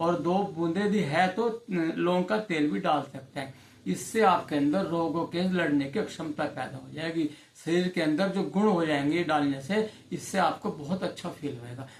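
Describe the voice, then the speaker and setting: With a high pitch, a man talks using ordinary pitch variation. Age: 60s. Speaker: ayurvedic health advisor. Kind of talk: informal health tutorial.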